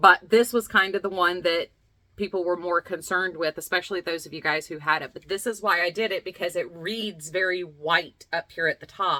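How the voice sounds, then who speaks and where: A woman speaks at a fairly quick pace with a Southern US accent, her medium-pitched voice bright and sharp in a dry, close recording with no echo. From US South, Lexington, North Carolina. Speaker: craft video host. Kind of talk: casual vlog chat. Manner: animated.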